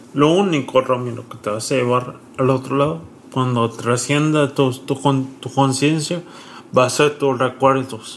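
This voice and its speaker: With noticeable background noise, a man at a medium pitch speaks fairly slowly with ordinary pitch variation. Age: 30s. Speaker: content creator and stroke survivor. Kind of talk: casual interview.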